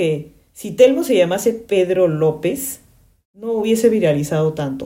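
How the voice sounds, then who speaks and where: Her tone dark and mellow, a woman speaks fairly slowly at medium pitch with lively intonation. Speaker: podcast host, branding consultant. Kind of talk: casual commentary monologue. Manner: animated.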